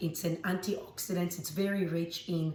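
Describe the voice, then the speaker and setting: At a moderate pace, a woman with a fairly low pitch speaks in a flat monotone against noticeable background noise. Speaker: makeup artist and green beauty expert. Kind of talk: beauty tutorial talk to camera.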